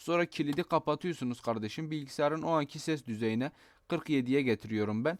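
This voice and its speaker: A man speaks with a fairly high pitch and ordinary pitch variation. The recording is very clean with a silent background and a dry, close sound with no echo. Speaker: gaming YouTuber. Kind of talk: tutorial. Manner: casual and chatty.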